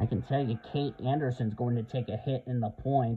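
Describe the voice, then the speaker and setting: Quiet and medium in pitch, a man speaks at a moderate pace with fairly even intonation over music in the background. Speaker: sim racing commentator. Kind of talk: live commentary. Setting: home recording at midnight. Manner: subdued, kept quiet.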